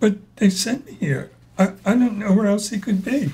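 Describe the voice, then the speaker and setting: Using a put-on character voice, a man talks at a moderate pace, pitched high with ordinary pitch variation. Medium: audio drama. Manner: hesitant, stammering.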